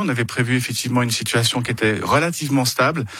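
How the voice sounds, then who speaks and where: Here a man speaks at medium pitch with ordinary pitch variation. His tone is bright and sharp. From Switzerland, Geneva. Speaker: cantonal government minister. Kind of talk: political interview. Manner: halting, many repeated words.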